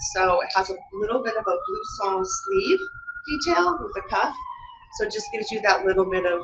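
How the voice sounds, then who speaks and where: Noticeable background noise sits under a woman's voice. She speaks at a high pitch with very wide pitch swings. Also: moderate pace. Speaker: fashion designer. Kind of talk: product presentation. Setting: live webinar.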